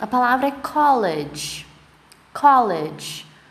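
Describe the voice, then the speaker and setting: A woman speaks at a high pitch with very wide pitch swings, and there is noticeable background noise plus audible room echo. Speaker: English teacher. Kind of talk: tutorial.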